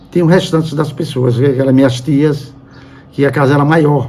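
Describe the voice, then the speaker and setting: A man's voice carries audible room echo. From Brazil, Sergipe (Aracaju). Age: 70s. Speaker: journalist. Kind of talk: interview testimony. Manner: halting.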